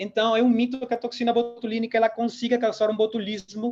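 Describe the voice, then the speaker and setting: Talking at a fairly quick pace, a man with a Peruvian accent uses a high pitch. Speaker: dentist and lecturer. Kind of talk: lecture. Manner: hesitant fillers.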